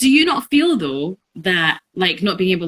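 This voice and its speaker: Bright and sharp, a woman's tone moves along at a moderate pace. The sound is dry and close, with no echo. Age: 20s. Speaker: podcast co-host. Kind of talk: casual chat.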